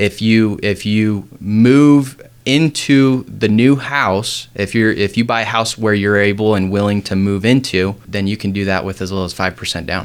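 A man with an American accent has an ordinary speaking voice and a fairly low pitch. He talks fairly slowly with ordinary pitch variation and hardly any pauses. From Utah, US. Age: 20s. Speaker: loan officer. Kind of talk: interview.

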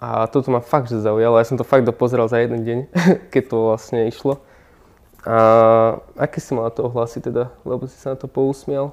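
A man at medium pitch speaks at a moderate pace with monotone, flat intonation and big swings in loudness. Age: young. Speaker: interviewer. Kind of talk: interview.

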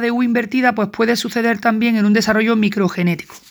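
A fairly high-pitched woman with fairly even intonation, in a very clean recording with a silent background. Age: 40s. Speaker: student recording study notes. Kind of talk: lecture. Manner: halting.

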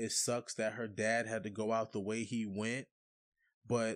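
A man speaks at a moderate pace in a medium pitch against a quiet background. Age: 30s. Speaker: podcast host. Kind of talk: casual chat. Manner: animated.

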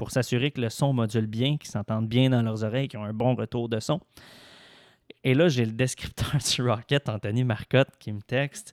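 A man with a Quebec accent at medium pitch, moderate pace and fairly even intonation, in a very clean recording with a silent background and a dry, close sound with no echo. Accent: Québécois French. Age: 20s. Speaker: sports journalist. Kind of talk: casual interview.

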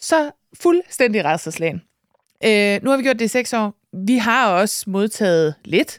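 On a very clean recording with a silent background, a woman with a fairly high pitch speaks at a very slow pace with very wide pitch swings and very even loudness. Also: dry, close sound with no echo. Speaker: podcast co-host and author. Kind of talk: podcast interview. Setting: studio.

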